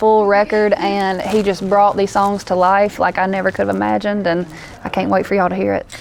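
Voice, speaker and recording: A woman with a Southern US accent speaks fairly quickly at a medium pitch, with monotone, flat intonation. Noticeable background noise runs behind her. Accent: country Southern. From US South, northeast Louisiana. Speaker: country singer-songwriter. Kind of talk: interview. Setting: festival interview.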